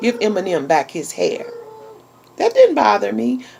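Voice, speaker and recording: The tone is animated. Noticeable noise sits in the background. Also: woman. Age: 40s. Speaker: YouTube vlogger. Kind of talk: casual chat.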